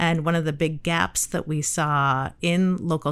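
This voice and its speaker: A woman's very deep, low voice in a Midwestern American accent, with fairly even intonation, on a very clean recording with a silent background. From Michigan, US Midwest. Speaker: urban planning agency director. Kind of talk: interview.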